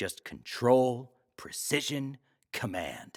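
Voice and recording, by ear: In a put-on character voice, a man speaks at a slow pace with big pitch swings, on a very clean recording with a silent background. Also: medium pitch for a man, slightly mellow tone.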